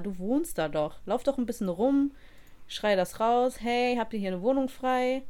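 A woman with lively intonation talks at a high pitch in a very clean recording with a silent background. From Germany. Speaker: podcast co-host. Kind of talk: casual chat.

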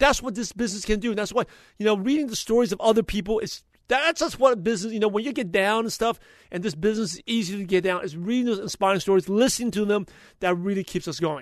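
A man talks fast with few pauses, in a passionate tone, at a high pitch with ordinary pitch variation.

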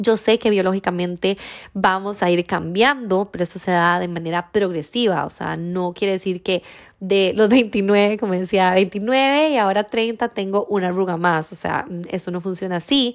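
A plain, everyday voice talks at a moderate pace with ordinary pitch variation. The recording is very clean, with a silent background. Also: woman, medium pitch for a woman. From Costa Rica. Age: 30s. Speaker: podcast host. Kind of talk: casual monologue.

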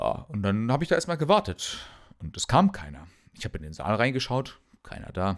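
A man's medium-pitched voice with vocal fry, very wide pitch swings and a fairly quick pace. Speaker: medical student podcaster. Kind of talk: casual solo monologue. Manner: halting, many fillers and repetitions.

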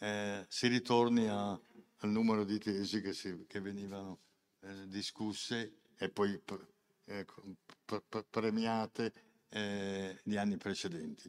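A man's flat, monotone delivery, fairly low in pitch and very slow. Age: 70s. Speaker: senior university program president. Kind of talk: ceremony speech. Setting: hall with live audience. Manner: halting, repeating words.

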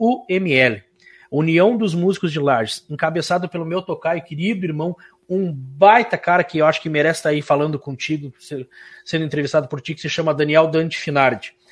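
A man talks fairly quickly in a normal speaking voice, his pitch fairly high. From Santa Catarina, Brazil (Irani). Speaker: musician and radio host. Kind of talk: interview.

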